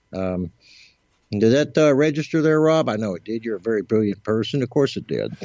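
With a plain, everyday voice, a man speaks at a fairly quick pace with lively intonation. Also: medium pitch for a man. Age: 60s. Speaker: psychic and musician. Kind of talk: interview.

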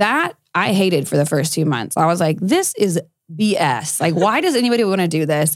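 Speaking at a fairly quick pace with an American accent, a woman keeps her loudness very even in an unremarkable speaking voice pitched fairly low. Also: lively intonation. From South Texas, Corpus Christi. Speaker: former beauty queen, MMA fighter turned country singer. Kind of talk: interview conversation. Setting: studio.

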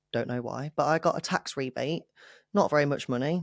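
A woman at a moderate pace with lively intonation, in a dry, close sound with no echo. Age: 30s. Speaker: fitness coach and bodybuilding competitor. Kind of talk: interview.

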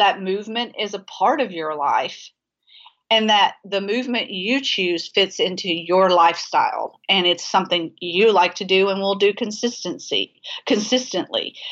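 Ordinary pitch variation and a moderate pace in a normal speaking voice. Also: woman, medium pitch for a woman. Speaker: dietitian and sports nutrition expert. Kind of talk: casual interview conversation. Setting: phone call.

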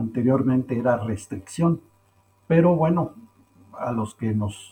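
A medium-pitched man with a dark, mellow, somewhat breathy tone, ordinary pitch variation and a fairly slow pace. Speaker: poultry science professor and researcher. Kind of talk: interview, expert explanation.

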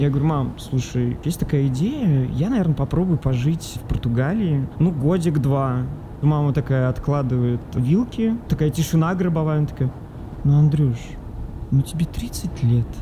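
A man with a fairly high pitch and ordinary pitch variation at a moderate pace, over noticeable background noise. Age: 30s. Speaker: journalist. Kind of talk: casual chat. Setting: in a car. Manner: animated.

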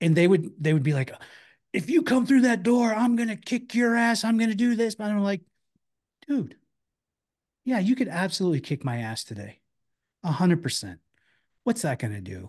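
A high-pitched male voice with very wide pitch swings at a moderate pace, broken by long, frequent pauses, against a quiet background. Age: 50s. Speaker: bounty hunter and former MMA fighter. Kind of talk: casual chat.

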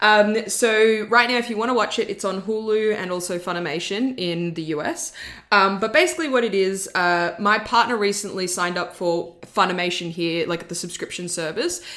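A woman with a medium pitch talks at a moderate pace, with ordinary pitch variation and hardly any pauses. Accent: Australian. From Australia, born in Florence, Italy. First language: Italian. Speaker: guest film reviewer. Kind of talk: casual chat.

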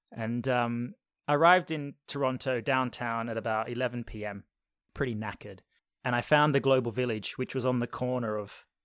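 Recorded with a dry, close sound and no echo, a man talks at a moderate pace in an ordinary speaking voice with ordinary pitch variation. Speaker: podcast host being interviewed. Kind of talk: casual chat. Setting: video call.

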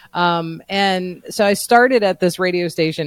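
A man's plain, everyday voice at a moderate pace, fairly even in intonation, with a dry, close sound and no echo. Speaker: radio host and voice professional. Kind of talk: casual interview chat.

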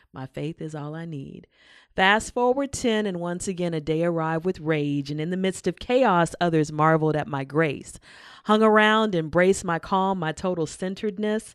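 Behind the woman, the background stays quiet. She talks at a moderate speed, her pitch varying in an ordinary way. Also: fairly low pitch for a woman, big swings in loudness. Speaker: poet and performer. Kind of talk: casual interview.

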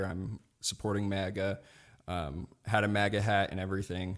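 A man with an unremarkable speaking voice, fairly low in pitch with fairly even intonation, in a very clean recording with a silent background. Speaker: political podcaster and libertarian. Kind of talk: casual interview.

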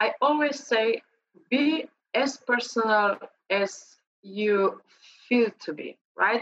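A woman at a very slow pace, fairly high in pitch, with lively intonation and long, frequent pauses. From Slovenia. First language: Slovenian. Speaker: LinkedIn trainer. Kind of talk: interview.

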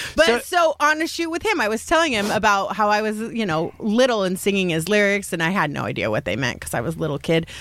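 A woman with an American accent at medium pitch, very wide pitch swings, a very fast pace, and noticeable background noise. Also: hardly any pauses. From Salt Lake City, Utah. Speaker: comedian. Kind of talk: casual chat. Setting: studio.

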